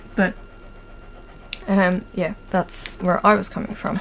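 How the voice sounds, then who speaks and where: Over noticeable background noise, a woman talks at medium pitch. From Ireland, near Dublin. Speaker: hobby vlogger. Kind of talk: casual chat. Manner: hesitant, many fillers.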